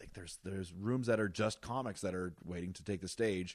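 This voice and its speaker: A man uses a normal speaking voice at a fairly quick pace with ordinary pitch variation. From northern Ontario, Wawa. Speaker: stand-up comedian. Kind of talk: casual chat. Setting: host's home.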